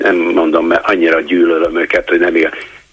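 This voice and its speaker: A man talks over noticeable background noise. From Budapest (Kőbánya). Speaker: caller. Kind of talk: call-in comment. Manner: halting, repetitive stammering.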